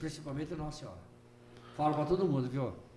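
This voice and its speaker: A man speaks with ordinary pitch variation, and audible room echo is present. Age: 80s+. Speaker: deacon. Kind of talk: casual chat.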